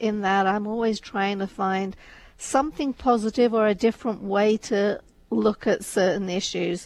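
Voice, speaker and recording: Her voice is fairly high for a woman, with fairly even intonation. She speaks at a fairly slow pace. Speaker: radio co-host. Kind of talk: casual chat. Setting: studio. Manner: soft-spoken.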